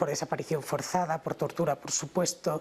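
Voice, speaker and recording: The intonation is monotone and flat. The speaker has a Spanish accent. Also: woman. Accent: Spanish (Spain). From Spain. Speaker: human rights lawyer. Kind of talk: TV interview.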